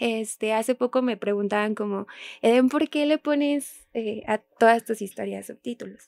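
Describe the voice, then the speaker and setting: Recorded with a dry, close sound and no echo, a woman uses a normal speaking voice at a fairly high pitch. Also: ordinary pitch variation, moderate pace. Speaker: special education teacher and sign language interpreter. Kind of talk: interview conversation.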